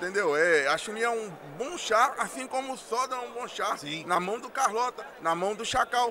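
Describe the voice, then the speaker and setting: A man's raised, projected voice with high pitch, lively intonation and moderate pace over noticeable background noise. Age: 30s. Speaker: fighting game player. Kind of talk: winner's speech.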